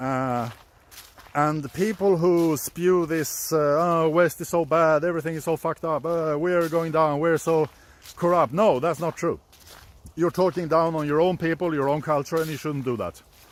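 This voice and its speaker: Speaking at a moderate pace, a man with a Swedish accent uses fairly even intonation and a fairly high pitch. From Sweden. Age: 40s. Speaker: YouTube commentator. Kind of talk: casual monologue commentary. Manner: halting.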